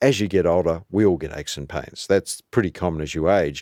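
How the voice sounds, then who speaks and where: An Australian-accented man with a very deep, low pitch, talking at a fairly quick pace in a dry, close sound with no echo. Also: very clean recording, silent background. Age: 60s. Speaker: cardiologist. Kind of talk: interview. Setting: studio.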